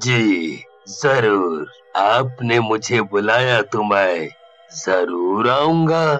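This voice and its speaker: Using a cartoonish character voice at a medium pitch, a man speaks at a very slow pace as faint music plays in the background. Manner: friendly, ingratiating.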